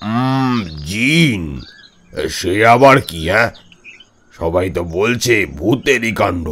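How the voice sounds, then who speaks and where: A man's put-on character voice, fairly low in pitch, very slow, with very wide pitch swings. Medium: audio drama. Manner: hesitant, stammering.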